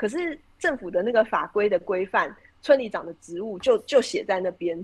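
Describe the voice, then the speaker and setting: This woman's voice is fairly high in pitch and moves at a moderate pace. Her pitch swings very widely. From Taiwan, Taoyuan. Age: 30s. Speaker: heart surgeon and city council candidate. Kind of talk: interview.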